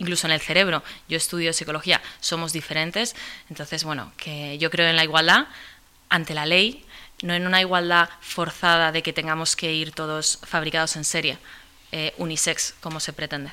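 Here a woman talks at a moderate pace with a fairly low pitch. Her tone is bright and sharp, her intonation monotone and flat. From Spain. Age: 20s. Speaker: activist. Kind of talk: interview. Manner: halting, frequent repetitions.

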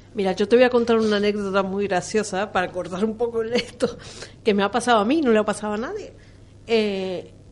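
Here is a woman with an unremarkable speaking voice. Her pitch is fairly high, her pace fairly quick, and her intonation fairly even. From Argentina. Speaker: radio panelist. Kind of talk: radio discussion.

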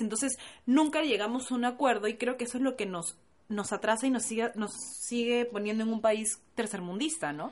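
A woman speaks in a plain, everyday voice at a fairly quick pace. Her pitch is fairly high, with ordinary variation. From Peru. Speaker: podcast co-host. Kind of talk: casual chat.

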